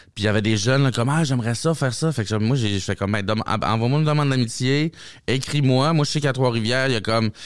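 On a very clean recording with a silent background, a man speaks very fast at a medium pitch, with very even loudness and ordinary pitch variation. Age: 30s. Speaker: comedian. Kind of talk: casual chat.

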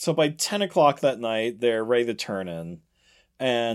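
Lively intonation from an unforced reading voice against a quiet background

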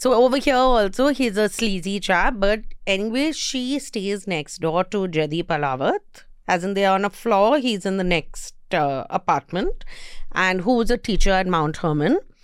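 A woman with an Indian accent, medium in pitch with lively intonation, at a moderate pace, in a very clean recording with a silent background. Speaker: podcast host, entertainment reviewer. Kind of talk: casual chat. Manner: laughs often.

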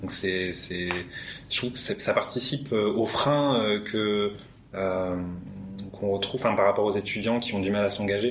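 Through noticeable background noise, a man speaks at a fairly low pitch with fairly even intonation. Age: 20s. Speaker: psychology student, helpline volunteer. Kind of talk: casual interview.

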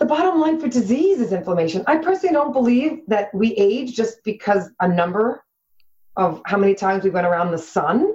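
A woman's fairly high, somewhat breathy voice with very wide pitch swings. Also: fairly quick pace, very even loudness. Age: 40s. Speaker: health coach. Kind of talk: interview.

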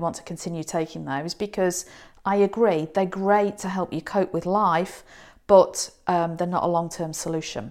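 This woman has a British accent and a medium pitch. She talks at a moderate pace with fairly even intonation. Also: very clean recording, silent background. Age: 50s. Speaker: psychologist. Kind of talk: advice monologue.

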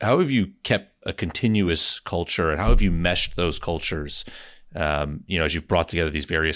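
In a very clean recording with a silent background, a man talks at a fairly quick pace in a very deep, low pitch. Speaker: growth investor and board member. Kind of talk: interview.

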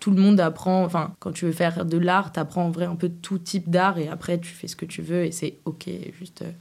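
The woman's fairly low voice stays monotone and flat in intonation while its loudness swings widely. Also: moderate pace. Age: 20s. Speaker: singer. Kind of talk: casual chat.

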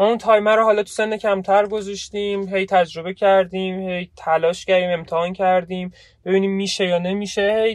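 At a fairly quick pace, a man speaks in a high pitch with monotone, flat intonation. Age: 20s. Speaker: podcast co-host, programmer. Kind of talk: casual chat. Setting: in a car. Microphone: phone recording.

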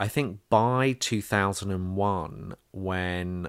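This is a man with a very deep, low pitch. The recording is very clean, with a silent background. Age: 40s. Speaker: activist. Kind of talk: interview testimony.

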